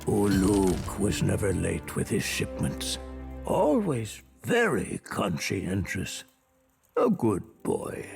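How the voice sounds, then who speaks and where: Faint music plays in the background as a man in a put-on character voice speaks very slowly at a fairly low pitch. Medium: video game. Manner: measured, formal.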